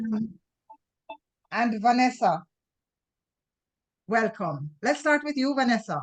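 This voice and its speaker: Loud and with vocal fry, a woman speaks at a fairly high pitch and a fairly slow pace, her voice making very wide pitch swings between long, frequent pauses. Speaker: event host. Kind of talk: online meeting welcome chat.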